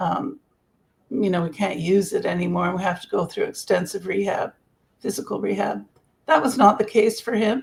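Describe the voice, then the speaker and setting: A woman speaks at a moderate pace with a Canadian accent and medium pitch. Her voice has vocal fry and ordinary pitch variation. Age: 70s. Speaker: grief coach. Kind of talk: interview. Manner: halting.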